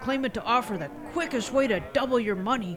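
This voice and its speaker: Noticeable background noise sits behind the speech. The delivery is moderate in pace. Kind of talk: radio DJ patter with comic skits. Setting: radio show.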